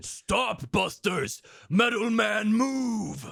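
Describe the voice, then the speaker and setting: A man puts on a character voice at a high pitch. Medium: read story. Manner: broken simple grammar.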